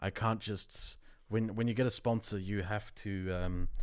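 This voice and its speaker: Over a silent background in a very clean recording, a man with a German accent talks at a fairly slow pace in a fairly low voice. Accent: German accent, creeping back. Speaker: YouTuber, podcast co-host. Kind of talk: casual chat.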